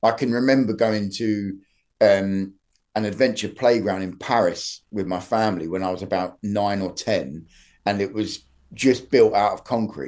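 A man speaks at a moderate pace in an unremarkable speaking voice with fairly low pitch. His pitch varies in an ordinary way against a quiet background. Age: 40s. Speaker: commercial photographer. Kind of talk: casual interview.

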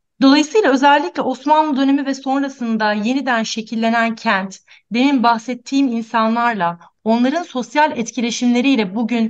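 The woman has a plain, everyday voice at a fairly high pitch. She speaks at a moderate pace over a quiet background. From Antakya, Turkey. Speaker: architect. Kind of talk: radio interview, prepared talk.

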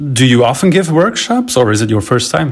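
With very wide pitch swings, a man of medium pitch speaks at a fairly quick pace. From Belgium. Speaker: radio host. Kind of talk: radio show hosting and interview. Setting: studio.

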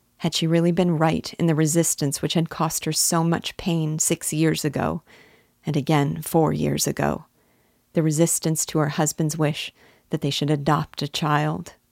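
In a very clean recording with a silent background and a dry, close sound with no echo, the voice holds a flat monotone with vocal fry and very even loudness. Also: woman, very deep, low pitch for a woman. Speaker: audiobook narrator. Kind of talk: literary audiobook reading of a 19th-century novel. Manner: measured, unhurried, formal narration.

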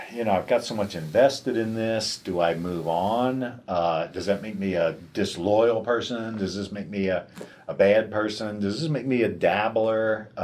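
A man with an American accent and an ordinary speaking voice: fairly low pitch, ordinary pitch variation, moderate pace, hardly any pauses. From US East Coast, Delaware. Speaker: martial arts master and founder. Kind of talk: interview answers, conversational.

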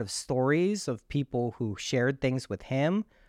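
A man talks at a fairly slow pace in an unremarkable speaking voice with a medium pitch. The sound is dry and close with no echo, over a quiet background. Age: 40s. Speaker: manifestation teacher and guest. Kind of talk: casual chat.

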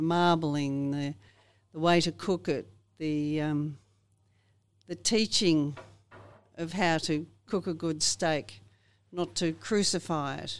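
This woman speaks very slowly with an Australian accent, a very deep, low pitch and fairly even intonation, on a very clean recording with a silent background. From Australia, north-west Victoria. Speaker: farmer. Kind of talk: interview.

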